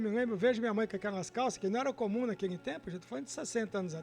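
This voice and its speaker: Music plays in the background as a man talks at a very fast pace. His pitch is high, with ordinary variation. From Brazil, Minas Gerais (Guaraciaba). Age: 60s. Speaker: guest storyteller. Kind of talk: personal life story testimony.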